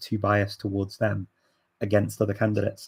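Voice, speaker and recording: On a very clean recording with a silent background, a man speaks fairly quickly in a fairly low, somewhat breathy voice. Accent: English. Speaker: language learning channel host, polyglot. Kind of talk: live stream Q&A. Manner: animated; halting.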